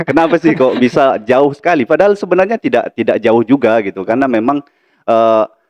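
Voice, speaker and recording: Lively intonation marks this very fast delivery, held at a very even loudness. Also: man, fairly high pitch for a man. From Lampung, Sumatra, Indonesia. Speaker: university lecturer and vice dean. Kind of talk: podcast interview. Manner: hesitant, many fillers.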